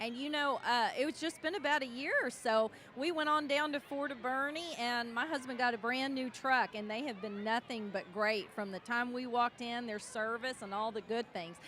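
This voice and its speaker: A woman with a high pitch speaks at a moderate pace with hardly any pauses, her pitch varying in an ordinary way over noticeable background noise. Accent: Texan. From Texas, New Braunfels. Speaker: parade commentator. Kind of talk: live commentary.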